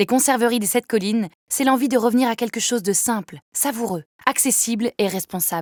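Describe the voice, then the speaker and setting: This woman has an ordinary speaking voice, fairly high in pitch, with ordinary pitch variation and a moderate pace. The recording is very clean with a silent background and a dry, close sound free of echo. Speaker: voice actor. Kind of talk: commercial read.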